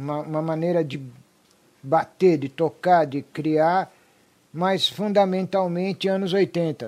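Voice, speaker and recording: Long, frequent pauses break up very slow speech that has ordinary pitch variation. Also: man, high pitch for a man. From Brazil, raised from age five. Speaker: rock musician. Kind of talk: casual chat.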